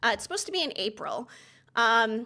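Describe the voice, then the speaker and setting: Loud and bright, sharp in tone, a woman with a high pitch and lively intonation speaks fairly quickly in a very clean recording with a silent background. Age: 50s. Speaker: TV commentator and YouTuber. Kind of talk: livestream commentary. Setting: livestream. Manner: fast.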